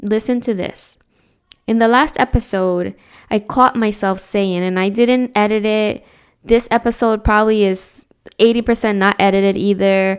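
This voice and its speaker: On a very clean recording with a silent background, a woman talks at a moderate pace, her fairly high voice carrying fairly even intonation. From New Jersey, born in Dominican Republic. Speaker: podcaster and educator. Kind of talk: personal podcast monologue. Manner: casual, halting with repetitions.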